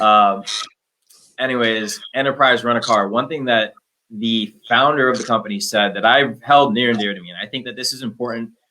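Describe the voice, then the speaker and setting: With an American accent, a man talks at a fairly quick pace in a medium pitch, his tone bright and sharp, his intonation fairly even and his loudness swinging widely. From Minnesota. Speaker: business development manager. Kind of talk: unscripted panel talk.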